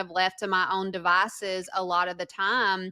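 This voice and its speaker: Recorded dry and close with no echo, a woman speaks in a strong Southern US accent with a bright, sharp tone. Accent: thick Southern. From US South, northwest Georgia. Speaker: former prisoner, advocate. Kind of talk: interview testimony.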